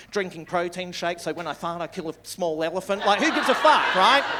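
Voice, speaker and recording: Noticeable background noise accompanies a man with an Australian accent talking at a fairly quick pace. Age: 60s. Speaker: stand-up comedian. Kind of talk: stand-up. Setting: stage with audience. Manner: animated.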